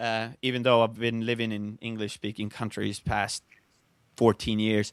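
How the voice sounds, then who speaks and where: A man with a medium pitch talks at a moderate pace in a monotone, flat intonation. The sound is dry and close with no echo, on a very clean recording with a silent background. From Estonia. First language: Estonian. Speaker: speed flyer. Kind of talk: casual chat. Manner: halting.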